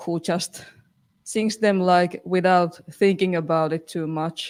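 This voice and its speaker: A woman with a non-native accent speaks very slowly at a fairly low pitch, with fairly even intonation. The recording is very clean, with a silent background. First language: not English. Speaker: band singer. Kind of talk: casual chat. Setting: live stream. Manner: halting.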